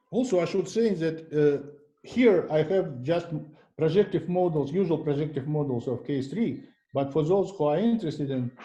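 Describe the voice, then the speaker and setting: A man speaks at a moderate pace with a non-native accent, his fairly high voice dark and mellow in tone, his intonation lively, and some room echo audible around him. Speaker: mathematician giving a seminar talk. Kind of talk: lecture. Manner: halting, many fillers and restarts.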